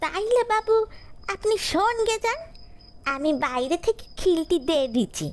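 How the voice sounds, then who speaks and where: Over light background noise, a female-sounding voice in a put-on character voice speaks very slowly at an extremely high pitch. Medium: read story. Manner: coaxing, keeps calling him babu.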